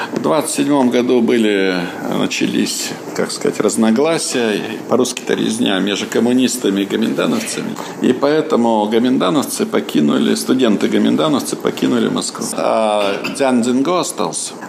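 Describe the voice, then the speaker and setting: The speaker is a man at a moderate pace. There is noticeable background noise. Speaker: museum guide. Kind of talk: interview tour talk. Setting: in a museum.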